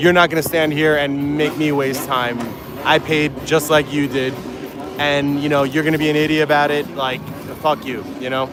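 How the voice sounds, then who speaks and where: Over music in the background, a man speaks at a fairly high pitch and moderate pace. His intonation is monotone and flat, with audible room echo. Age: 40s. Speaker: YouTuber on vacation vlogging. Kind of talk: casual walk-and-talk vlog. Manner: hesitant, repetitive filler.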